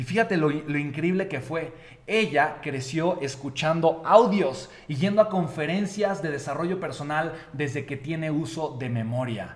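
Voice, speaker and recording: Against noticeable background noise, a man with a fairly high pitch and animated tone speaks at a fairly slow pace with ordinary pitch variation. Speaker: motivational speaker. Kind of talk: motivational talk.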